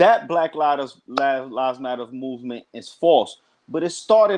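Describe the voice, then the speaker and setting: A man speaks with a New York accent at a moderate pace. His pitch is fairly high and his intonation lively. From New York, Brooklyn. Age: 40s. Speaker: guest on live chat. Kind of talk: casual chat. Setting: online live chat.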